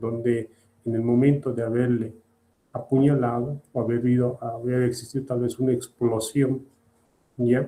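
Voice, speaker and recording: A man's medium-pitched, dark, mellow voice in monotone, flat intonation, broken by long, frequent pauses. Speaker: surgery lecturer. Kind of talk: lecture. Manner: slow.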